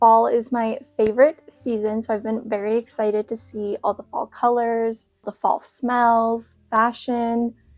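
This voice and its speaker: Speaking at a fairly slow pace with hardly any pauses, a woman with a fairly high pitch keeps a monotone, flat intonation in a dry, close sound with no echo. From Canada. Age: 20s. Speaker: lifestyle vlogger. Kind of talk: casual vlog chat.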